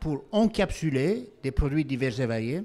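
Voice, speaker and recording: A man with a slight Belgian accent, at a fairly slow pace with lively intonation. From Belgium. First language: not French (speaking French). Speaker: company founder and CEO. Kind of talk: panel discussion.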